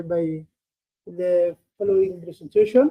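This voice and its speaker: A man speaks with a dark, mellow tone. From Somalia. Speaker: panelist presenter. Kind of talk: presentation. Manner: halting, many fillers.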